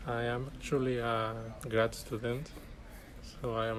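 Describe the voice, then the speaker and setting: There is audible room echo around the voice. A man speaks at a medium pitch. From Chile (Arica, far north). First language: Spanish. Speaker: graduate student. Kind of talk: interview.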